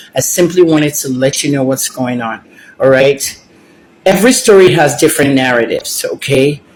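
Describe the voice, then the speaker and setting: Using an ordinary speaking voice, this man keeps a moderate pace, and his fairly high pitch moves with ordinary variation. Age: 60s. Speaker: celebrity gossip commentator. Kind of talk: casual vlog commentary.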